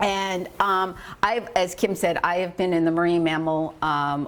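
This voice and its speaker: A woman speaks loudly in an animated tone, her pitch fairly low. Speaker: marine conservationist. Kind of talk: public lecture. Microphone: no microphone at first.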